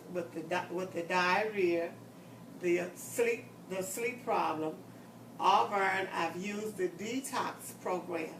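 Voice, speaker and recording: Over noticeable background noise and audible room echo, a woman talks at a fairly slow pace with ordinary pitch variation. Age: 70s. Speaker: customer giving a testimonial. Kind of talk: testimony.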